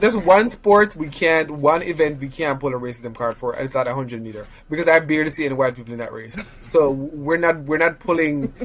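Noticeable background noise sits behind a man with a fairly high pitch and lively intonation. He talks at a fairly quick pace with hardly any pauses and big swings in loudness. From Jamaica. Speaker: podcast co-host. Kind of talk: casual chat.

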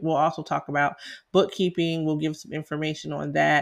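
The voice is in a Southern US accent. The recording is very clean with a silent background. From South Carolina. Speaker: tax preparer and podcast host. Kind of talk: casual educational talk, podcast monologue. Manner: conversational, filler-heavy.

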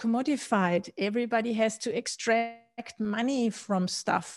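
Fairly high in pitch, a woman talks with a German accent at a fairly slow pace with fairly even intonation. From Austria. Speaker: Bitcoin podcaster and author. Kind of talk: interview. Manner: halting with many fillers.

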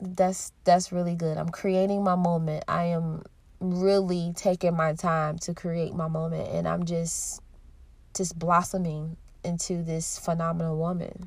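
A woman speaks in a fairly low, somewhat breathy voice at a fairly slow pace. Her intonation is monotone and flat. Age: 30s. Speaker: podcast host. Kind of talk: personal monologue. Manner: emotional.

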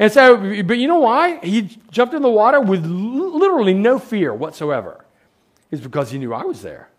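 A man speaks at a moderate pace with an extremely high pitch and very wide pitch swings. His loudness swings a lot. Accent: American. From United States. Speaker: professor and guest preacher. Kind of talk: sermon. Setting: church. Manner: halting.

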